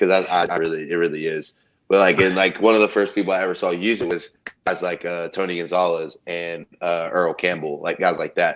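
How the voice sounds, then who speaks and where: A man's very deep, low voice with a Texan accent, fairly quick in pace and monotone, with flat intonation. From Texas, small town. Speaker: college football player. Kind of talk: casual interview. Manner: halting, many fillers.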